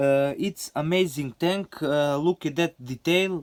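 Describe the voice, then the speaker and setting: This man has a Serbian accent and a fairly high pitch with ordinary pitch variation. The sound is dry and close, with no echo. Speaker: scale model hobbyist. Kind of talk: show-and-tell video. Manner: halting, many fillers.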